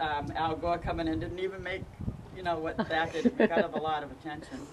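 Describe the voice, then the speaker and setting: A woman speaks at a fairly quick pace amid noticeable background noise. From northern US. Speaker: local historian. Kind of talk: casual interview.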